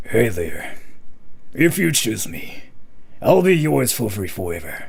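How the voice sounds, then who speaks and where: Over light background noise, a man puts on a character voice at a medium pitch, moving at a moderate pace with very wide pitch swings. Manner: suave, seductive.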